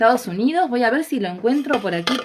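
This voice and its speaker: Her voice is an unremarkable speaking voice, fairly high for a woman, with lively intonation. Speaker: live stream host. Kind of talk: live stream introduction.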